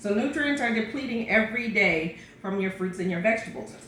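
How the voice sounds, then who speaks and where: Lively intonation from a woman's fairly high voice, with noticeable background noise and audible room echo. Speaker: pastor sharing health routine. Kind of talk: casual vlog talk. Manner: fast; hesitant with fillers.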